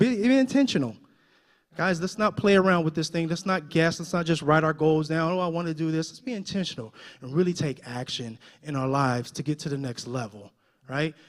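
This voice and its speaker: Animated and fairly quick, a man speaks with lively intonation. His pitch is fairly high. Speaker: motivational speaker. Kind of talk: motivational talk.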